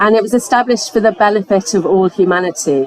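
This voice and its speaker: A woman speaks with an English accent and ordinary pitch variation. Crowd noise can be heard in the background. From England. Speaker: foundation programme director. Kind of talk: panel presentation. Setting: conference pavilion with audience.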